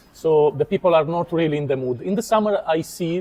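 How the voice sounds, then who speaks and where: Fairly quick speech with ordinary pitch variation against noticeable background noise. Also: man. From Italy. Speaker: YouTuber interviewer. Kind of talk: casual interview.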